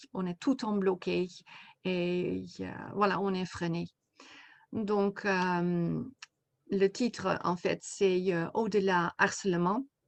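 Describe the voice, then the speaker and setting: A woman with a Dutch accent at a very slow pace, with long, frequent pauses. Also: medium pitch for a woman, fairly even intonation, quiet background. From Netherlands. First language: Dutch (speaking French). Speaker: coach and therapist, author. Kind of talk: interview. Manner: halting, many hesitations.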